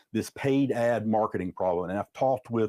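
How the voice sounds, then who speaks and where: A man with a Southern US accent speaks with lively intonation and a dark, mellow tone. The sound is dry and close, with no echo. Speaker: business consultant. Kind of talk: webinar presentation. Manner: fast; repetitive fillers.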